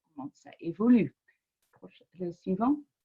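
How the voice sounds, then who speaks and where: A woman with a non-native accent and a dark, mellow tone. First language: not French (speaking French). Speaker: public health researcher. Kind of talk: webinar presentation. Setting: online webinar. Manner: halting, many hesitations.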